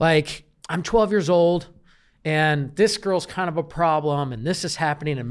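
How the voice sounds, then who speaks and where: In a plain, everyday voice, a man with an American accent speaks with ordinary pitch variation. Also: very clean recording, silent background. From Kansas City, US Midwest. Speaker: real estate business coach. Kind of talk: interview. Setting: studio, in person.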